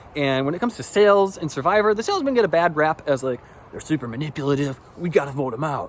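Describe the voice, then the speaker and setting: Over noticeable background noise, a man with an American accent speaks very fast at a fairly high pitch. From US Midwest, West Michigan. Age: 30s. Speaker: salesman. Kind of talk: audition video, casual self-introduction. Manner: casual, filler-heavy.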